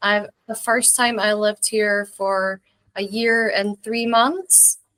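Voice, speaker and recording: A woman's fairly high, bright, sharp voice with a slight Scottish accent and ordinary pitch variation, in a dry, close sound with no echo. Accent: mild Scottish. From Scotland, rural village near English border. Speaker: English teacher and video creator. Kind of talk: casual interview chat. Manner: hesitant, many fillers.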